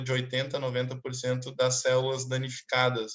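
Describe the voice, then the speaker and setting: Medium-pitched man at a moderate pace. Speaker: doctor teaching a clinical case class. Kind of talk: online lecture.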